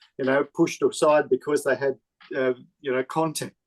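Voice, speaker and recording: Fairly high male voice with an Australian accent, flat and monotone, at a moderate pace in a dry, close sound with no echo. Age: 70s. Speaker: film director. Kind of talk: interview.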